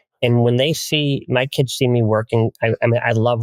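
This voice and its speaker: A man talks at a fairly quick pace in a medium pitch, his intonation monotone and flat. The sound is dry and close, with no echo. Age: 60s. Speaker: family wealth advisor. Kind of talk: podcast interview.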